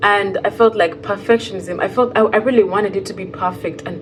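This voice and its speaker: There is noticeable background noise. A woman speaks at medium pitch with ordinary variation. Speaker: fiber artist and vlogger. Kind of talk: casual vlog monologue. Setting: sitting on floor in new empty home. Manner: rambling, hesitant with fillers.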